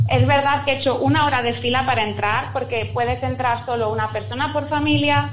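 The speaker talks at a fairly quick pace with hardly any pauses. Noticeable background noise runs under the voice. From Spain. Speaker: Spanish resident abroad. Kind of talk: interview.

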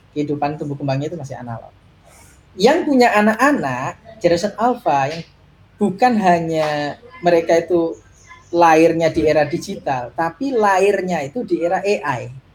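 There is noticeable background noise behind a man with a high pitch. He talks at a moderate pace with lively intonation and big swings in loudness. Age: 30s. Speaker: tech executive and parent. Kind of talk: casual interview.

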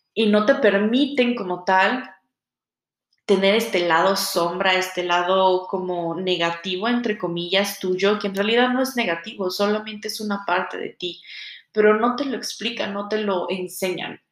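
A woman at a fairly slow pace with ordinary pitch variation, amid audible room echo. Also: medium pitch for a woman. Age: 20s. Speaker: podcast host, tarot reader. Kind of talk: solo monologue podcast introduction.

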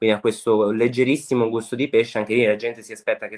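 At a very fast pace, a man talks at medium pitch in a monotone, flat way, with a dry, close sound and no echo. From Liguria, Italy (Sanremo). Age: 20s. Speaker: home cook and food content creator. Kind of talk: casual interview chat.

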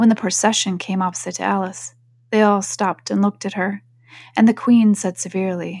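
Intonation remains fairly even. It is delivered in an unforced reading voice.

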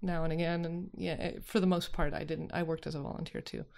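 A woman with an ordinary speaking voice, a fairly low pitch and fairly even intonation, on a very clean recording with a silent background. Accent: American. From Utah. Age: 40s. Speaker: arts venue co-founder. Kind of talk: interview.

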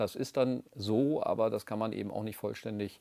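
A man speaks in a normal speaking voice at a medium pitch. His intonation is fairly even, on a very clean recording with a silent background. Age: 50s. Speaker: regional politician. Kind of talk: interview. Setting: studio.

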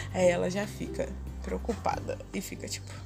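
Music plays in the background as a woman speaks in a room with audible echo. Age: 20s. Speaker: podcaster. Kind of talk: casual monologue. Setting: home balcony, outdoors. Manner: chatty.

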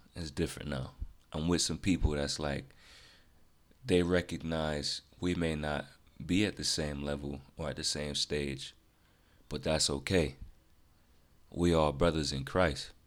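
Speaking at a fairly slow pace with long, frequent pauses, a man with a very deep, low pitch, vocal fry and fairly even intonation is heard in a very clean recording with a silent background. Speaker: podcast host. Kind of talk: casual solo podcast monologue. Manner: monotone; casual, positive, conversational.

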